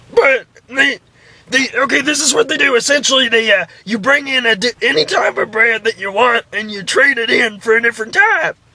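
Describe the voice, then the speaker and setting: A man puts on a character voice, raised and projected, at an extremely high pitch and a moderate pace. The sound is dry and close, with no echo. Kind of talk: prank call comedy. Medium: solo performance. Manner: halting, full of uhs and ums.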